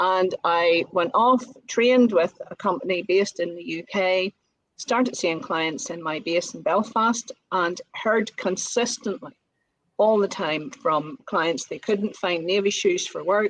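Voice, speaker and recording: The sound is dry and close with no echo as a woman speaks rather slowly. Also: medium pitch for a woman, ordinary pitch variation. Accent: Northern Irish. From Northern Ireland. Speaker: business owner, colour consultant. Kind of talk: podcast interview.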